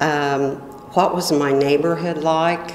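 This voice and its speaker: Over music in the background and audible room echo, a woman with a US Midwestern accent talks at a very slow pace with ordinary pitch variation. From Illinois, US Midwest. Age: 60s. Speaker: oral history interviewee. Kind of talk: oral history interview. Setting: library meeting room.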